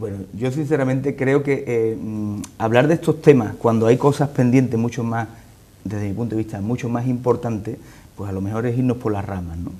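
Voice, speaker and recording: A man speaks at a moderate pace and medium pitch, with ordinary pitch variation. His tone is dark and mellow, broken by long, frequent pauses. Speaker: political party leader. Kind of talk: TV interview answer.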